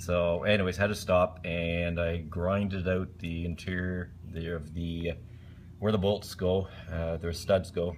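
This man has a very deep, low pitch and a monotone, flat intonation at a fairly slow pace. Light background noise sits behind him. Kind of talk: tutorial. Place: home room. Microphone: phone near.

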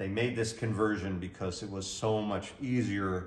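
Audible room echo surrounds a man with a fairly low pitch. He speaks at a moderate pace with fairly even intonation. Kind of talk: product demonstration. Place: garage. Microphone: camera far.

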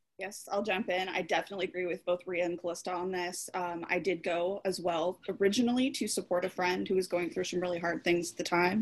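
A woman with an American accent talks at a very fast pace, with fairly even intonation and hardly any pauses. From Southern California. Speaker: former grief group member. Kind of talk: casual chat. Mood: earnest, reflective. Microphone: video call.

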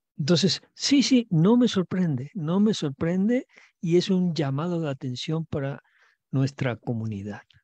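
A man speaks with a fairly high pitch and a slightly mellow tone. His intonation is lively and his pace fairly slow. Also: dry, close sound with no echo.

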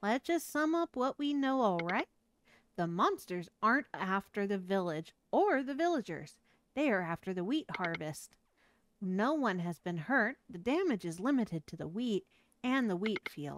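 A woman puts on a character voice at a medium pitch, swinging very widely in pitch at a moderate pace, in a dry, close sound with no echo on a very clean recording with a silent background. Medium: virtual streamer. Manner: anxious, explaining.

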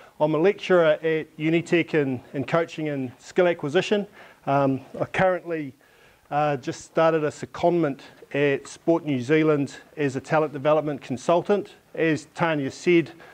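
This man keeps his intonation fairly even. He talks at a moderate pace. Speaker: presenter, coaching lecturer. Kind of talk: conference presentation. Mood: light, humorous. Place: classroom. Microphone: lapel.

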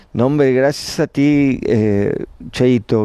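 A man's dark, mellow voice with ordinary pitch variation, dry sound with no echo, and a quiet background. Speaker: UFO watcher livestreamer; UFO-watch livestreamer. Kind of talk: live stream chat. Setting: rooftop terrace at night. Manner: halting. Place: open country. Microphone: phone mic; earbuds.

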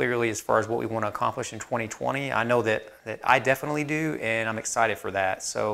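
The man talks at a very fast pace. His intonation is fairly even. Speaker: woodworking channel host. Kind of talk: casual vlog chat. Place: workshop. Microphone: lapel.

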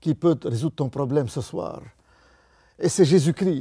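Over a quiet background, a man with a fairly high pitch and a dark, mellow tone speaks at a fairly slow pace with lively intonation. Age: 80s+. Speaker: retired banker turned evangelist. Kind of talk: testimony. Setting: studio. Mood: earnest testimony. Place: studio.

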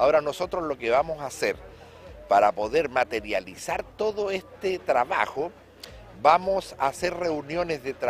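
A moderate pace in a dry sound with no echo, with music in the background. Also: man. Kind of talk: interview answer. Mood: measured, mildly critical. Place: street. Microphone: handheld.

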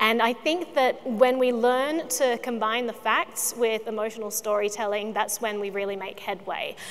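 A woman in an Australian accent, fairly high-pitched with ordinary pitch variation and hardly any pauses. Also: moderate pace. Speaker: video producer; panelist. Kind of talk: panel discussion. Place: stage. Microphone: lapel.

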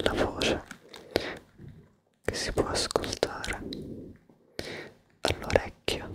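A soft-spoken man whispering at a very slow pace over loud background noise. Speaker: ASMR creator. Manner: soft close ASMR whisper. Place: home room. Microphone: studio mic.

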